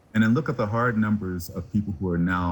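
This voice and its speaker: Somewhat breathy, a man talks at a very fast pace. His pitch shows ordinary variation. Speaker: physician. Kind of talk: TV news interview.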